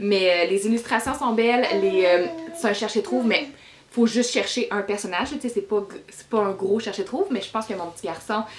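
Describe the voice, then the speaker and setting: A woman with a Quebec accent at a fairly high pitch and a fairly quick pace, with big swings in loudness and noticeable background noise. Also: ordinary pitch variation. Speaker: book reviewer. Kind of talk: casual book review vlog. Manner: hesitant, many fillers.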